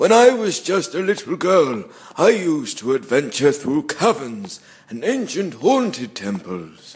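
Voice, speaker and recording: A man uses a put-on character voice pitched high. His pitch swings very widely at a moderate pace. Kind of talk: comic overacting. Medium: audio drama. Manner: pompous, grandiose.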